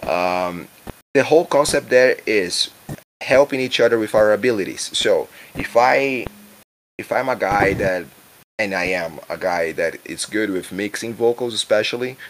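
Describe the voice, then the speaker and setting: Ordinary pitch variation marks the speech of a man with a Brazilian accent. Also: medium pitch for a man, moderate pace. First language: Portuguese. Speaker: musician. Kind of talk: interview. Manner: halting.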